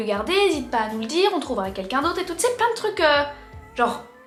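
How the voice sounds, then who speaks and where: A woman's raised, projected voice at a very fast pace with very wide pitch swings, audible room echo and music in the background. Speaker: lifestyle youtuber. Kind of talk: storytime. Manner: casual.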